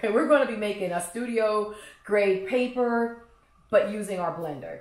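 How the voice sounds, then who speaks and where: Audible room echo hangs around a woman whose pitch moves with ordinary variation. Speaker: craft instructor. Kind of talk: tutorial. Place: kitchen.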